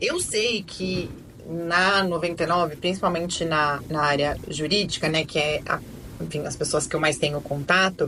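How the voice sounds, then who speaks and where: Her fairly low voice holds a fairly even intonation as the woman speaks at a moderate pace. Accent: São Paulo. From Brazil, São Paulo. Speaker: lawyer and podcast host. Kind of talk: casual chat.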